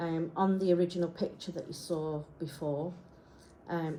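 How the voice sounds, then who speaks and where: A woman's fairly low voice with a dark, mellow tone, monotone, flat intonation and a moderate pace. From Isle of Man, Yorkshire and Wales. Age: 50s. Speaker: graphic designer. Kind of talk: personal presentation. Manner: halting.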